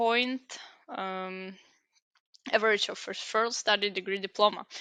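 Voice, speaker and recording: A woman with a Ukrainian accent speaks at a very slow pace in a medium pitch with ordinary pitch variation and a bright, sharp tone, the sound dry and close with no echo against a quiet background. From Ukraine. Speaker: student giving application walkthrough. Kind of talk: tutorial. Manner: halting.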